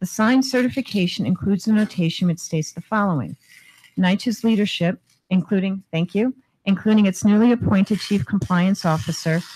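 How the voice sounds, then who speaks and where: Dry and close with no echo, a woman's somewhat breathy voice with a dark, mellow tone and medium pitch moves at a fairly quick pace. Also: ordinary pitch variation. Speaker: housing authority executive. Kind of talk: formal presentation.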